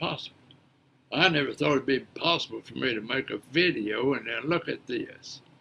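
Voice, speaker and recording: A man with an Appalachian accent, medium pitch, bright, sharp tone and vocal fry, ordinary pitch variation, and a moderate pace. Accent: Southern US (Appalachian). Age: 70s. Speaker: preacher, storyteller. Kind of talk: casual monologue. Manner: halting, repeats words.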